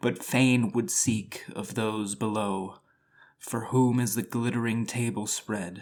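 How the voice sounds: A natural reading voice keeps its intonation fairly even.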